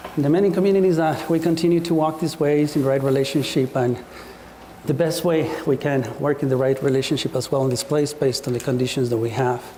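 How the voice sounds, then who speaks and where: A man with an Ecuadorian accent speaks quietly at a very fast pace, with very even loudness and fairly even intonation. His pitch is fairly high, and noticeable background noise is present. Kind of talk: public talk. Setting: speaking to a live audience in a room. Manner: too quiet.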